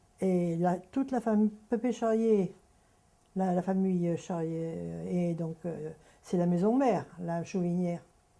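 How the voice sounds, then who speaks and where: A woman's dark, mellow, fairly low voice at a very slow pace, with ordinary pitch variation. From France, Deux-Sèvres (Poitou). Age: 80s+. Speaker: elderly farm family witness. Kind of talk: oral history testimony. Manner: halting.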